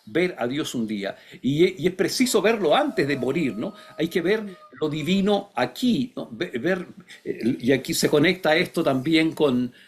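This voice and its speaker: Over noticeable background noise, a man talks in a fairly high pitch with very wide pitch swings. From Chile. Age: 60s. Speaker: philosopher and writer. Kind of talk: interview. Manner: halting, many fillers; reflective.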